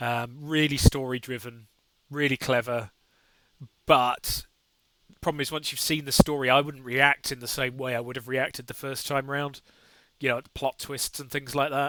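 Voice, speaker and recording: A man speaks at a moderate pace in a flat, monotone delivery, his bright, sharp tone recorded dry and close with no echo while his loudness swings widely. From southern England, near London. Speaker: gaming streamer. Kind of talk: live stream commentary. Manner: casual, hesitant with many fillers.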